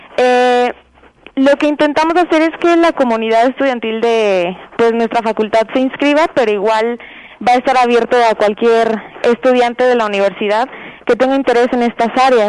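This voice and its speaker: Over noticeable background noise, a woman speaks at a moderate pace in a high voice with ordinary pitch variation. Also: very even loudness. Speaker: student council member. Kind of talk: radio interview.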